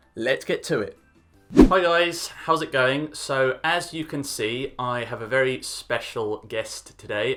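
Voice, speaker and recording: Music plays behind a man with a British accent and a fairly high voice. He speaks at a fairly slow pace in an upbeat tone. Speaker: English teacher. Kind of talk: casual talk to camera.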